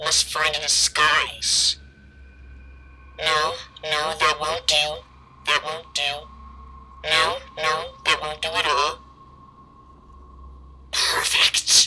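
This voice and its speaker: Someone speaks in a put-on character voice at a middle pitch. The pace is very slow, with long, frequent pauses. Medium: short film. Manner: mocking, menacing.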